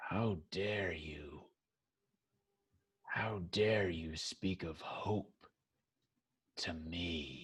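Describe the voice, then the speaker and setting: A very slow, raspy put-on character voice from a man, very deep and low in pitch, broken by long, frequent pauses. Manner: indignant, scornful.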